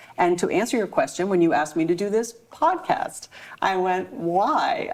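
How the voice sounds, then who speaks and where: A woman talks at a moderate pace and a medium pitch over noticeable background noise. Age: 50s. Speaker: psychotherapist and author. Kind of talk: podcast interview.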